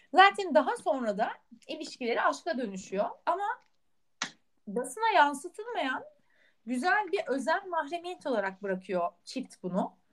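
Speaking at a fairly slow pace, a woman with a high pitch makes very wide pitch swings. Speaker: podcast co-host. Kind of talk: casual chat.

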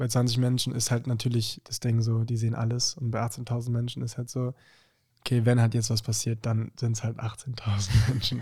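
A man's somewhat breathy, dark, mellow voice, monotone and flat, at a moderate pace. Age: young. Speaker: singer. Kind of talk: casual chat.

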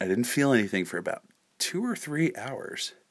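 Soft-spoken, a man talks with lively intonation. The recording is very clean, with a silent background. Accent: American. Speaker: podcast host. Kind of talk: casual storytelling monologue. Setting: at home at night.

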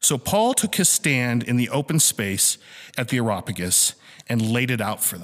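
At a moderate pace, a man with an unremarkable speaking voice talks with lively intonation. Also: medium pitch for a man. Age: 20s. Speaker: church teacher. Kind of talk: sermon.

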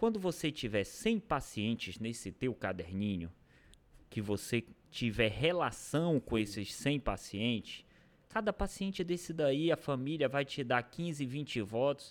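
On a very clean recording with a silent background, a man at medium pitch speaks fairly slowly with very wide pitch swings. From Pará, Brazil (interior, near Maranhão border). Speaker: mayor and physician. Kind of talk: casual interview.

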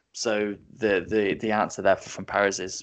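A man with an English accent speaks at a fairly slow pace. His pitch is fairly low, and the background is quiet. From England. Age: 20s. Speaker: football podcast co-host. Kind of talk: casual panel discussion. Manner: animated, repetitive restarts.

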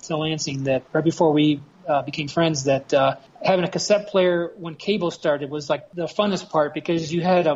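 A man's fairly high-pitched voice at a moderate pace, with few pauses, a slightly mellow tone and fairly even intonation

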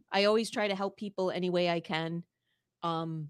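A woman's fairly low, flat, monotone voice on a very clean recording with a silent background. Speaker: sports podcaster and Bills fan. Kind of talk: casual chat. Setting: home studio. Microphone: large studio microphone.

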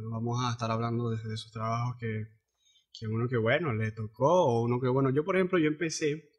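A man with a Zulian accent talks at a fairly quick pace in a somewhat breathy voice, with medium pitch and ordinary pitch variation. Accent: Venezuelan Zulian (maracucho) Spanish. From Venezuela, Zulia (Cabimas). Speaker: podcast host. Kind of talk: casual chat.

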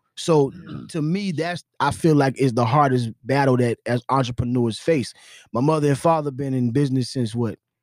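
An unremarkable speaking voice from a man with an American accent, medium pitch, ordinary pitch variation and a moderate pace, dry and close with no echo. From US South. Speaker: entrepreneur. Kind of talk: casual chat.

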